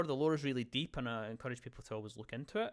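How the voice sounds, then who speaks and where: A man with a Scottish accent, medium pitch and lively intonation, on a very clean recording with a silent background. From Scotland. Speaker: gaming podcast host. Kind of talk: casual chat. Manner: halting, many fillers and restarts.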